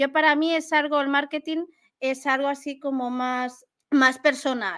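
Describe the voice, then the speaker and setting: A woman's voice sits high in pitch, with a bright, sharp tone. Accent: Valencian. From Valencia region, Spain. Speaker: marketing specialist and podcaster. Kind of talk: interview conversation.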